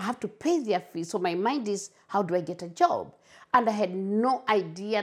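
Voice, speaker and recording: At a moderate pace, a woman with a Kenyan accent speaks on a very clean recording with a silent background. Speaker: community advocate for migrants. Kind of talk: interview, personal testimony. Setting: at home. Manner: halting, repeats words.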